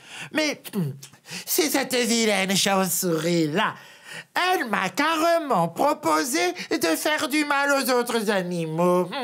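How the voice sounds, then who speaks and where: In a put-on character voice, the speaker goes at a fairly slow pace with a fairly high pitch and very wide pitch swings. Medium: read story. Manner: scornful.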